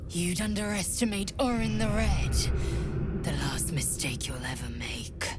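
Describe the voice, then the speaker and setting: A put-on character voice moves at a moderate pace over loud background noise. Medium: machinima. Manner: clipped, stern.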